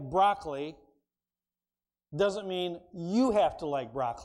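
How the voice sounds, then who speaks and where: In a room with audible echo, a man with a high voice speaks very slowly, his dark, mellow tone carried by lively intonation. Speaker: preacher. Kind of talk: sermon.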